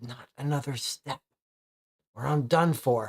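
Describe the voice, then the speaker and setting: The voice whispers at a fairly slow pace. It is a put-on character voice. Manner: whispering through her teeth.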